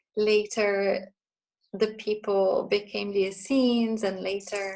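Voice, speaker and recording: Music can be heard behind the speaker. She, a woman, talks fairly slowly. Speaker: spiritual therapist and writer. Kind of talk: interview. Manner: halting.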